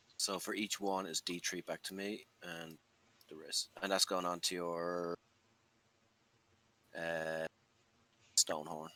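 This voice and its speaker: A man's very deep, low voice with an Irish accent, bright and sharp in tone, flat and monotone, very slow with long, frequent pauses, in a dry, close sound with no echo. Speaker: wargaming player. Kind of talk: casual chat.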